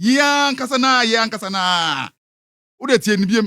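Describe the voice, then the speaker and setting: A man speaks in a raised, projected voice at a moderate pace, his pitch high and his intonation lively. The tone is bright and sharp, and the recording is very clean with a silent background. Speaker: radio entertainment show host. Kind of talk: radio show commentary.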